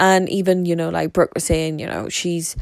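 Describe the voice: At a moderate pace, a woman with a fairly low pitch and vocal fry speaks with little pitch movement.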